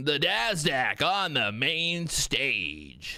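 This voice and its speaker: A man puts on a character voice. It sits fairly high in pitch. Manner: announcing, showy.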